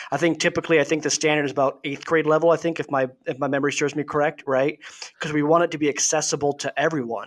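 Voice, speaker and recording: A man speaks with an Upper Midwest accent. His pitch is fairly high. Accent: Upper Midwest American. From Wisconsin, Milwaukee area. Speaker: deputy city manager and Army veteran. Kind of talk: casual chat.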